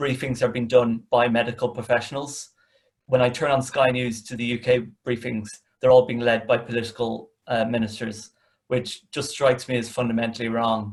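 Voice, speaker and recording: A man speaks at a moderate pace in a medium pitch, his delivery monotone and flat and his voice somewhat breathy. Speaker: communications manager, panel speaker. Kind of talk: webinar panel discussion. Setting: video call. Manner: hesitant, many fillers.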